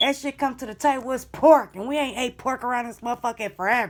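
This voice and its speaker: A woman talks at a high pitch in an animated tone. The recording is very clean with a silent background. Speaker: tarot reader. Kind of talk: tarot reading.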